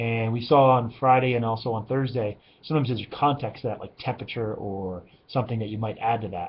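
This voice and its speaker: The man's voice comes across as somewhat breathy. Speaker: high school algebra teacher. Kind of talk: recorded lecture. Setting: classroom. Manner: fast.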